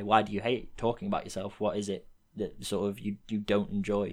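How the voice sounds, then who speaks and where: A man speaks with an English accent. His pitch is fairly low and his pace fairly quick. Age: 20s. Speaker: podcast host. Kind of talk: casual chat. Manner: animated.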